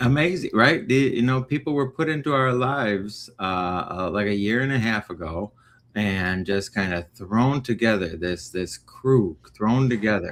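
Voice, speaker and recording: Using a normal speaking voice, the speaker talks at a moderate pace with lively intonation and an American accent. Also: man, fairly low pitch for a man. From Northwest Indiana. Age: 30s. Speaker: recovery livestream host. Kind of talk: casual chat. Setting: livestream.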